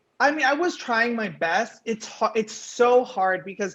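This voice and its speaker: With a Canadian accent, a woman in an ordinary speaking voice talks at a fairly high pitch with lively intonation. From western Canada, Vancouver. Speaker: singing game show winner. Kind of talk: interview.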